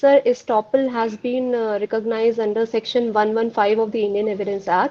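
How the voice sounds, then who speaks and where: A fairly high-pitched woman's voice with fairly even intonation and a moderate pace, over noticeable background noise. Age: 20s. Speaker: job interview candidate. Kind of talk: mock job interview. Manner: hesitant, many fillers; formal, polite.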